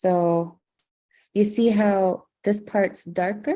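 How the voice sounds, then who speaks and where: Fairly even in intonation, a woman speaks with a dark, mellow tone. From Nunavut, Canada (Clyde River, Baffin region). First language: Inuktitut. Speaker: Inuit cultural educator. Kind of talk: educational livestream talk with Q&A. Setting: video livestream.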